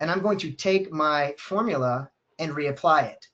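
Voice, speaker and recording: The speaker is a man whose voice sits fairly high in pitch. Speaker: e-commerce data expert. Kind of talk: webinar presentation. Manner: fast.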